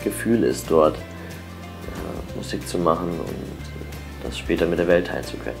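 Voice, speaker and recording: Over clear music in the background, a man speaks at a very slow pace in a very deep, low pitch. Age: 20s. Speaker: sound engineer and street musician. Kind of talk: interview; interview answer. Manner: hesitant with fillers. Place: home room. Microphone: lapel.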